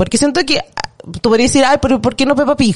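A woman's high-pitched voice at a very fast pace. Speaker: podcast guest, film fan. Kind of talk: casual chat.

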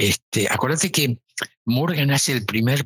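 Recorded dry and close with no echo, a man with a Rioplatense accent speaks at a fairly slow pace in a bright, sharp tone. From Argentina, Buenos Aires. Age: 70s. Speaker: emerging markets finance executive. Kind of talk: interview.

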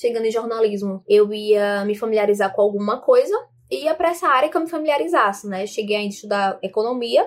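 An ordinary speaking voice with lively intonation at a fairly quick pace. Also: woman, fairly high pitch for a woman. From Brazil, João Pessoa, Paraíba. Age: 20s. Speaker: social media content creator and journalism student. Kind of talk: personal introduction monologue. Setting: home bedroom. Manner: casual, with frequent fillers.

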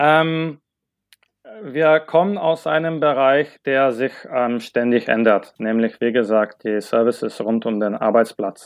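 Here a man speaks at a medium pitch with lively intonation. His pace is very slow. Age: 30s. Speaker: product owner in corporate IT operations. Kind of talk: podcast interview. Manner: halting, many filler sounds.

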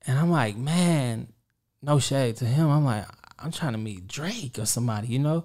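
The speaker is a man with a medium pitch. His pace is moderate. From Kansas City, Kansas. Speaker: songwriter and music producer. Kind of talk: casual interview. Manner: laughs often.

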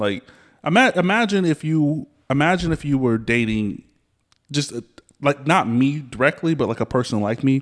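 With an ordinary speaking voice, a man speaks at a moderate pace in a fairly high pitch, his intonation lively against a quiet background. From US South. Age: 30s. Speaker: podcast host. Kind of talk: casual chat.

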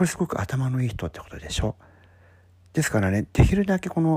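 At a fairly quick pace, a man with a medium pitch and a dark, mellow, somewhat breathy tone swings very widely in pitch. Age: 50s. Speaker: podcast host giving career advice. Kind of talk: solo talk monologue.

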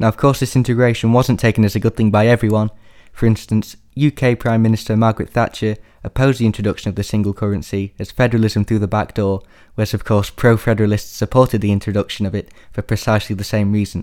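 A man talks at a very fast pace and fairly low pitch with a Yorkshire accent. His intonation is monotone and flat, in a very clean recording with a silent background. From northern England, Sheffield, Yorkshire. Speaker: sociology student and musician. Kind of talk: scripted academic presentation.

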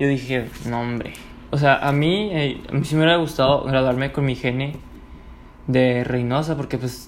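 The man speaks at a medium pitch in a relaxed tone. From Mexico, Ciudad Juárez, Chihuahua. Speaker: podcaster. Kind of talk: casual storytelling monologue. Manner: relaxed, filler-heavy.

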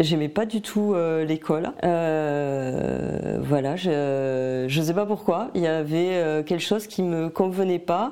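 Delivered at a very slow pace, the speech runs with hardly any pauses and at a very even loudness. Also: woman, fairly low pitch for a woman, ordinary pitch variation. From southern France, Tarn. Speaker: painter. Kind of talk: interview. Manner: hesitant, many fillers.

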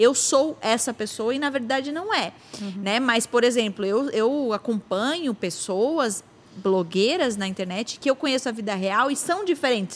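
A woman talks with lively intonation at a moderate pace, her pitch fairly high, while noticeable noise fills the background. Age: 30s. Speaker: podcast host. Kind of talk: casual chat.

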